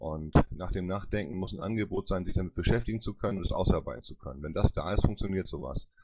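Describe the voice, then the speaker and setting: A man speaks very fast in a very deep, low voice with vocal fry. His pitch varies in an ordinary way. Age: 50s. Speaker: politician and party board candidate. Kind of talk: panel Q&A interview.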